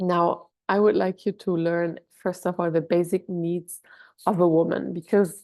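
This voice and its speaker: A woman with a German accent and a dark, mellow tone at a fairly low pitch, speaking at a fairly slow pace with fairly even intonation against a quiet background. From Germany. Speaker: doula. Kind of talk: online workshop. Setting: video call. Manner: hesitant, many fillers.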